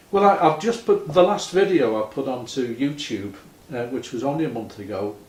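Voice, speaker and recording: Big swings in loudness and very wide pitch swings from a man with a fairly high pitch at a moderate pace, with audible room echo and noticeable background noise. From Liverpool, England. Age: 70s. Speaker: retired musician. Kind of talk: casual chat.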